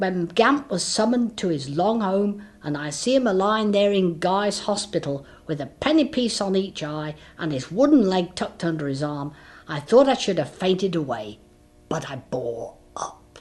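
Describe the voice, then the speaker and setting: A put-on character voice, female-sounding and medium in pitch, performs with a Cockney accent. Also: moderate pace. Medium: read story. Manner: garrulous, self-important.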